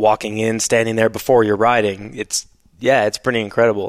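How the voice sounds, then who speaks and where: A man with a Canadian accent and a plain, everyday voice, in a dry, close sound with no echo. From Canada. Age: 30s. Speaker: former motocross racer and product designer. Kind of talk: casual interview chat.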